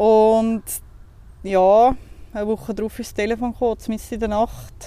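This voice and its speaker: A woman speaks in a Zurich accent at a fairly slow pace. Her tone is dark and mellow. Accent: Swiss German (Zurich). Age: 30s. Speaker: funeral office worker. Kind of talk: casual interview. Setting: outdoors in a cemetery.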